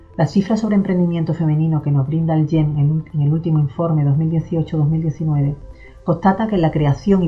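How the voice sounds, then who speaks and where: A woman's very deep, low voice at a fairly quick pace, with fairly even intonation and faint music in the background. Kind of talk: formal address. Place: office. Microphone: camera far.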